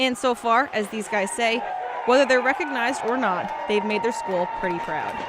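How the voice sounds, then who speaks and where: A woman speaks in a fairly high voice with lively intonation at a moderate pace. Crowd noise fills the background. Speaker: sports reporter. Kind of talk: TV news package narration.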